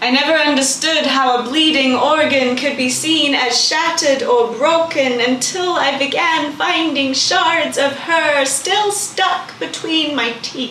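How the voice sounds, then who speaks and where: A woman's raised, projected voice, high in pitch with ordinary pitch variation and very even loudness, fairly slow yet with hardly any pauses, against noticeable background noise. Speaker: spoken word poet. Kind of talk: spoken word poetry performance. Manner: emotional, raw.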